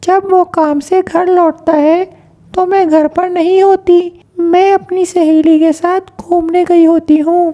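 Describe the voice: In a cartoonish character voice, a woman speaks at an extremely high pitch and a fairly slow pace. Her intonation is monotone and flat, her loudness very even.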